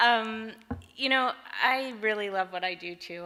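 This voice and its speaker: At a moderate pace, a woman speaks with lively intonation and a bright, sharp tone. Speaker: fashion stylist. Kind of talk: acceptance speech. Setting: stage with audience. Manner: halting, many fillers.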